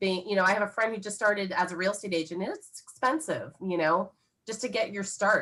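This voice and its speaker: This woman speaks at medium pitch. Her tone is bright and sharp. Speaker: title company sales rep. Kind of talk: Q&A workshop talk. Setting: video call.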